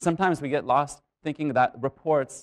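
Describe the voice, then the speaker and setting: A man's voice, the surroundings quiet. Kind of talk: public talk. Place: stage.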